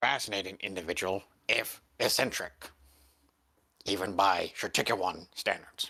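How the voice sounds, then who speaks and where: In a put-on character voice, the speaker uses a low pitch and a moderate pace, with long, frequent pauses. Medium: actual play. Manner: formal, stilted, measured.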